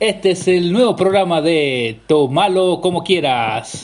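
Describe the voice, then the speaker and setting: There is noticeable background noise behind the recording. Over it, a man talks with lively intonation. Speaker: podcast host. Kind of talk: casual chat. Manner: energetic.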